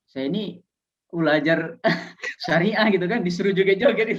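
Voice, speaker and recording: A man with a Medan accent talks at a fairly quick pace. His pitch is fairly high. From Aceh, Indonesia. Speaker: Islamic teacher and doctoral student. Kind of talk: casual interview.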